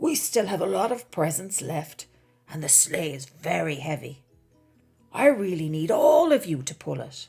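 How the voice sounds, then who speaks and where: Over music in the background, a woman does a put-on character voice, fairly low, raspy and warm in tone, with lively intonation at a moderate pace. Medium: read story. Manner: warm, kindly.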